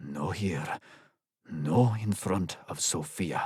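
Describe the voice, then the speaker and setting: Using a put-on character voice, a man speaks raspy and very deep at a very slow pace. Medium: read story. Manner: clipped, tense.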